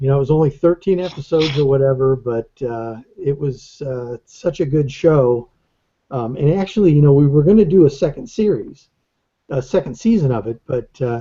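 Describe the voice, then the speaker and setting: At a moderate pace, a man speaks with fairly high pitch, ordinary pitch variation, and a somewhat breathy quality. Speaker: animator. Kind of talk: interview. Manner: halting.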